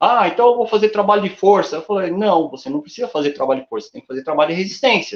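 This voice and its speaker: Very fast speech with hardly any pauses, lively intonation and big swings in loudness. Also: man, high pitch for a man. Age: 60s. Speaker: running coach. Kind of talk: interview.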